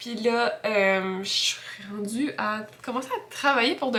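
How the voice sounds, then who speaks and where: A woman's fairly high voice rises and falls with ordinary pitch variation. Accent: Quebec. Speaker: freelance graphic designer vlogger. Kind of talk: casual vlog talk. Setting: at home. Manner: hesitant, many fillers.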